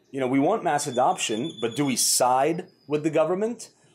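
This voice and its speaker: A man with lively intonation. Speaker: vlog host. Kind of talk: commentary. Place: garden. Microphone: lapel.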